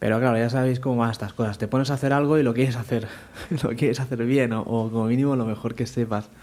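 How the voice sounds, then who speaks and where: A man at a very fast pace with monotone, flat intonation. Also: medium pitch for a man. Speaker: programming podcast host; parent of young children. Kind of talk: casual podcast monologue. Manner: trying to project voice more.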